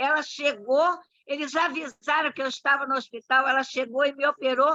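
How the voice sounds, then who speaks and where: A woman's raised, projected voice, high-pitched, with a bright, sharp tone and a dry, close sound with no echo. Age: 80s+. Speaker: club member commenting after a talk. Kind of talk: casual comment in virtual meeting.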